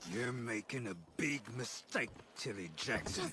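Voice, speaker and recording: Putting on a growling character voice, a man speaks at medium pitch and a moderate pace with lively intonation over clear background noise. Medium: video game. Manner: menacing.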